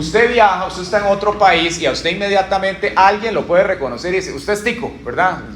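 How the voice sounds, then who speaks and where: Over noticeable background noise and audible room echo, a man with a Costa Rican accent speaks in a high voice at a very fast pace with hardly any pauses. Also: ordinary pitch variation. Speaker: pastor. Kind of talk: sermon.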